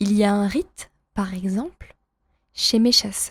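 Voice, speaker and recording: A woman's somewhat breathy voice at medium pitch, with ordinary pitch variation. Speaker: French teacher reading a story aloud. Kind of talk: reading aloud. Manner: slow; clear.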